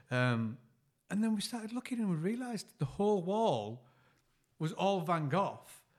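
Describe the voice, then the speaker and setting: A man with a northern English accent speaks at a moderate pace and a high pitch, making very wide pitch swings and long, frequent pauses. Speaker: podcast co-host. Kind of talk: casual chat.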